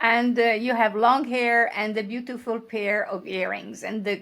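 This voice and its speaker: At a fairly slow pace, a woman talks with a fairly high pitch and ordinary pitch variation. Hers is a plain, everyday voice. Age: 60s. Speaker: podcast host. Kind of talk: podcast interview.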